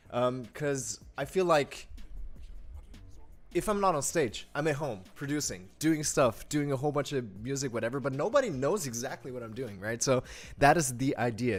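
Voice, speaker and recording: Lively intonation from a man with a German accent, at a moderate pace. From Germany. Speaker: music producer and pianist. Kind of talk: live stream tutorial. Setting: home studio live stream. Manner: casual, filler-heavy.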